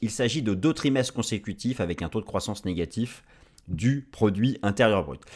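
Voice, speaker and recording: A man speaks at a fairly quick pace. The recording is very clean with a silent background. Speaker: market analyst. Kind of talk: video presentation on markets. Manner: fast; halting with fillers.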